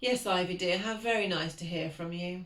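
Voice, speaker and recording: A put-on character voice, female-sounding and medium in pitch, shaky and bored in tone, at a moderate pace. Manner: faintly bored.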